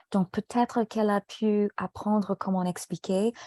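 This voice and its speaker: Speaking very slowly with an English accent, a woman has a dark, mellow tone. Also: dry, close sound with no echo, very clean recording, silent background. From United States. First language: English (speaking French). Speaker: French tutor. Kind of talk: casual chat.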